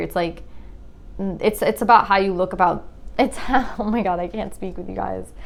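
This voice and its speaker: Mumbling with vocal fry, a woman talks at a moderate pace and medium pitch with ordinary pitch variation. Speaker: tarot reader. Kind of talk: tarot reading to viewers. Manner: casual, filler-heavy.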